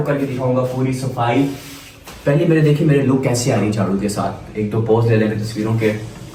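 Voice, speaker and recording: A man's animated tone at medium pitch and moderate pace, with ordinary pitch variation, noticeable background noise and audible room echo. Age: 20s. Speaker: vlogger. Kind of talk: casual vlog.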